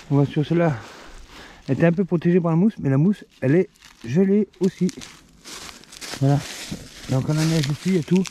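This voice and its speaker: Over noticeable background noise, with a dry, close sound and no echo, a man speaks at a fairly quick pace, his pitch fairly high with ordinary variation. His loudness stays very even, broken by long, frequent pauses. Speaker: outdoor vlogger. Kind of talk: casual vlog narration. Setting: outdoors in snowy woods.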